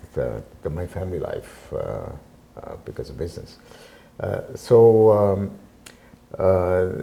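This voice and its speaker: Speaking at a very slow pace, a man leaves long, frequent pauses and his loudness swings widely. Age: 70s. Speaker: community centre president, retired businessman. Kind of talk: interview. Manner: halting, many fillers.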